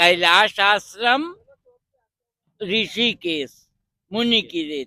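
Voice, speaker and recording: A man speaks in a high voice with lively intonation. Long pauses come often. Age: 70s. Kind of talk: interview.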